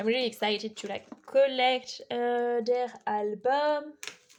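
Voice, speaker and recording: A woman's high-pitched voice, fairly even in intonation, at a fairly slow pace. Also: long, frequent pauses. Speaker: K-pop photocard collector vlogger. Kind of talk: casual chat. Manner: hesitant, many fillers.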